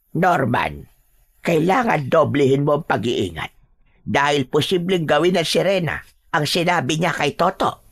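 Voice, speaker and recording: This is a put-on character voice at a middle pitch. It goes at a fairly slow pace. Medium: read story. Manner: earnest, concerned.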